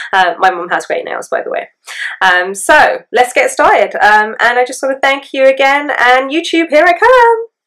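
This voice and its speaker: With an English accent, a woman speaks at a moderate pace in a high pitch that swings very widely. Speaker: beauty vlogger. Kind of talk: tutorial. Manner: hesitant, many fillers.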